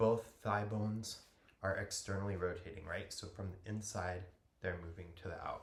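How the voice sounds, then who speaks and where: A man talks at a moderate pace in a fairly low pitch. His voice is somewhat breathy, with fairly even intonation. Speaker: yoga teacher. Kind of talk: guided yoga class.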